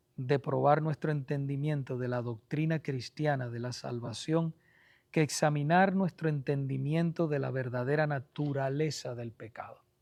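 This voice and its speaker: Soft-spoken and fairly high-pitched, a man talks at a fairly slow pace with fairly even intonation on a very clean recording with a silent background. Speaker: pastor teaching a Bible study class. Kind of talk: Bible study lecture.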